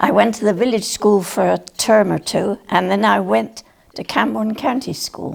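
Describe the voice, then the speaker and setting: In a Cornish accent, a woman speaks at a fairly slow pace. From Cornwall, England. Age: 90s. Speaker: retired nurse and farmer's wife recalling local history. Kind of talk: oral history interview. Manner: halting, with fillers.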